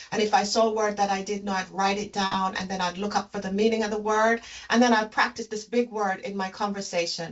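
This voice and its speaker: A woman talks with a slight Jamaican accent. Her intonation is flat and monotone. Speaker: leadership consultant and executive coach. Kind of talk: interview.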